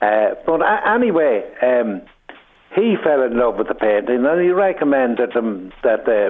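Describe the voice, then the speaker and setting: A man with an Irish accent talks at a moderate pace over noticeable background noise. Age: 70s. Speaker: painter. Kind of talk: radio interview. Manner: halting.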